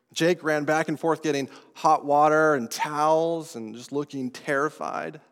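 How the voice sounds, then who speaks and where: Here a man with an American accent talks at a fairly slow pace, his pitch fairly high and his intonation fairly even. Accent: non-New England American. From Colorado. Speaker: pastor. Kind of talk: sermon.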